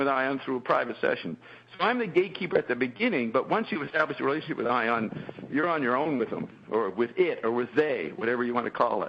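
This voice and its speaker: This man's fairly quick speech makes very wide pitch swings while noticeable background noise carries on behind him. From France, Paris. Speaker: channeler. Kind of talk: interview conversation.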